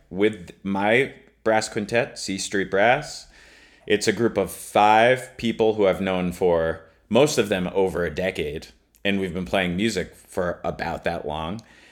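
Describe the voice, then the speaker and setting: A man speaks in a plain, everyday voice at a fairly low pitch with ordinary pitch variation. The recording is very clean, its background silent. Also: fairly slow pace. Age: 30s. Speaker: trombonist and music professor. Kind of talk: casual chat.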